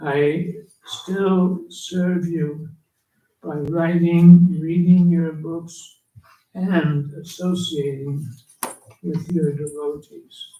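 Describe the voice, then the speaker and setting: In a room with audible echo, a man with a high pitch and a dark, mellow tone talks at a very slow pace in a monotone, flat intonation, with long, frequent pauses and big swings in loudness. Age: 80s+. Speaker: elderly monk and spiritual teacher. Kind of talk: reading aloud a written offering.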